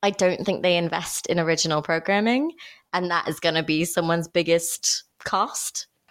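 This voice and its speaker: In a normal speaking voice, a woman with fairly low pitch talks at a moderate pace with fairly even intonation and very even loudness. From United States. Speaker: podcast host and screenwriter. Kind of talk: casual chat.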